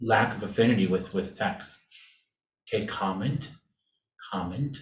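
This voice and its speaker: With an American accent, a man speaks at a moderate pace in a somewhat breathy voice with lively intonation, and audible room echo surrounds him. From California. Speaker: design researcher and presenter. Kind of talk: presentation and Q&A.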